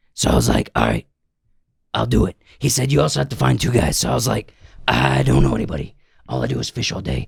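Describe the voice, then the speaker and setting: A man speaks in a raspy, put-on character voice at a very deep, low pitch. He talks at a very fast pace, broken by long, frequent pauses. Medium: solo performance. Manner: folksy, plain-spoken.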